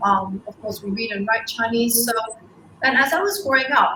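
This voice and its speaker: A woman with a Cantonese accent speaks in a fairly high pitch. Music plays in the background. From Hong Kong. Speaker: school co-founder. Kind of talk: interview. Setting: livestream.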